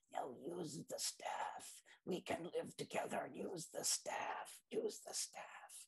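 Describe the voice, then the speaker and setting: A raspy, put-on character voice is used. The delivery comes at a fairly slow pace. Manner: coaxing, persuasive.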